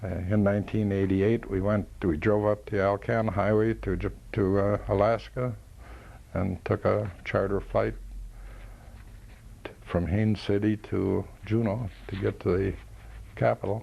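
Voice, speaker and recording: In an American accent, the speaker talks at a fairly slow pace with a dark, mellow tone and long, frequent pauses. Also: man, fairly low pitch for a man, fairly even intonation. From Minnesota, US Upper Midwest. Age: 70s. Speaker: war veteran. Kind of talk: oral history interview. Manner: halting, many fillers.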